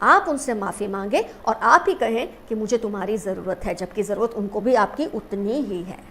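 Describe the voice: A woman speaks at a medium pitch, her fairly bright tone carried by lively intonation.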